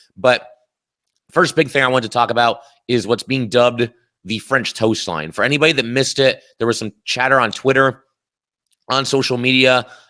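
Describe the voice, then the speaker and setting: Talking at a fairly quick pace but with long, frequent pauses, a man uses a bright, sharp tone at medium pitch with ordinary pitch variation. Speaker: sports podcast host. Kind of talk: casual sports commentary podcast.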